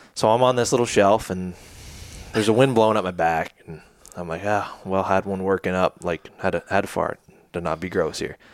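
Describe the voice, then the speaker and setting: With ordinary pitch variation and a fairly quick pace, this is a normal speaking voice. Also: man, fairly low pitch for a man. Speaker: podcast host. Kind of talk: casual chat. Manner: casual, jokey.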